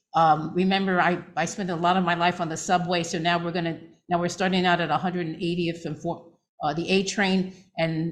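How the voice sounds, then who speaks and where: Speaking in a New York accent, a woman keeps a monotone, flat intonation at a moderate pace. Her pitch is fairly low, and room echo is audible. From New York City, Manhattan. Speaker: physician. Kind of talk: lecture.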